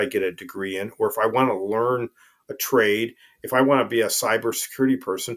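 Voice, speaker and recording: A man talks fairly quickly in an unremarkable speaking voice, at a medium pitch with ordinary pitch variation. The recording is very clean, with a silent background. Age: 60s. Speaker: retired army colonel, veteran. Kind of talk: podcast interview.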